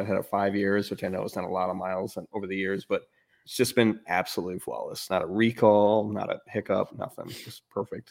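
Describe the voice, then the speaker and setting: The recording is very clean with a silent background. A man speaks at a fairly low pitch in a monotone, flat intonation. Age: 40s. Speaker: car podcast co-host. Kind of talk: casual chat.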